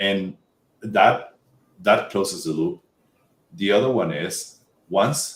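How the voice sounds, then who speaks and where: A man with a Spanish accent and fairly low pitch speaks very slowly, with lively intonation and long, frequent pauses. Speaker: tech job-hunting expert. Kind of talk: podcast interview. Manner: halting, many fillers and restarts.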